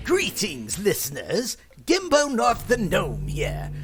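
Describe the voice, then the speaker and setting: A put-on character voice moves at a moderate pace. Clear background noise can be heard. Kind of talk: fantasy podcast host persona. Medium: actual play. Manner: hearty, theatrical.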